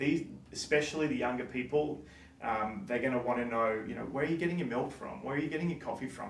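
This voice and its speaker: With an Australian accent, a man speaks amid noticeable background noise and audible room echo. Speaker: coffee shop owner. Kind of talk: presentation talk. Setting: stage with audience. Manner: fast.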